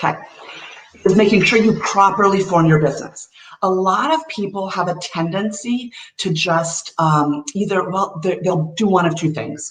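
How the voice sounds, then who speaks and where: Speaking at a moderate pace and a medium pitch, a woman with an unremarkable speaking voice shows ordinary pitch variation. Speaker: tax and cash strategist. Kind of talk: webinar presentation.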